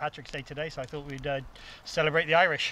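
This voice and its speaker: A man at a fairly high pitch speaks in a monotone, flat intonation, with noticeable background noise. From England, Bristol. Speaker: camping companion. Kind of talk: casual chat.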